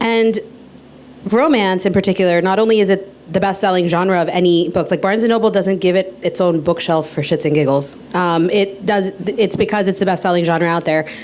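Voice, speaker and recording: Speaking at a fairly quick pace, a woman keeps her loudness very even, with medium pitch and ordinary pitch variation. Noticeable background noise can be heard. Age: 30s. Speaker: author and podcaster. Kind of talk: panel discussion.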